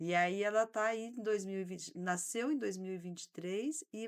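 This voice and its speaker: A woman with an unremarkable speaking voice talks at medium pitch and a moderate pace with ordinary pitch variation. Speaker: social worker and handball athlete. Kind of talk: casual interview.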